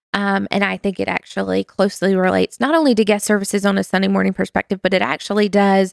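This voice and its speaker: A woman with a Southern US accent speaks at a very fast pace, her loudness very even. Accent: Southern US, noticeable. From US South, North Carolina. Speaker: small groups associate director, church staff. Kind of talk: casual interview chat.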